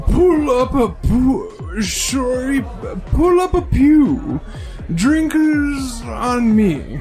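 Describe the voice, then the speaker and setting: A put-on character voice, high-pitched and at a very slow pace, with clear music in the background. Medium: read story. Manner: stammering, slurred.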